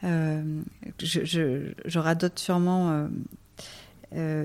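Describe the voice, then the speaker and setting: A woman speaks in a monotone, flat way. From rural France. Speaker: sustainability network director. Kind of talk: interview. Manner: halting.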